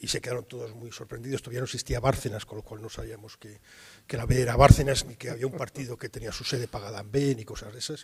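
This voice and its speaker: Very fast, a somewhat breathy man with a medium-pitched voice talks with fairly even intonation. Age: 60s. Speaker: journalist, war correspondent. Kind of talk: interview at university talk. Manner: hesitant, many fillers.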